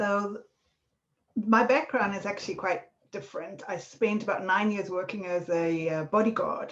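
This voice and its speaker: With a South African accent, the speaker keeps a moderate pace and ordinary pitch variation. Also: woman, medium pitch for a woman. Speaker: marketing consultant, former bodyguard. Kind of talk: podcast interview.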